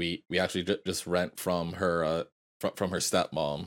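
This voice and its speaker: A man with a Canadian accent is heard in a very clean recording with a silent background. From Canada. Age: 20s. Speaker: podcast host. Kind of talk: casual chat.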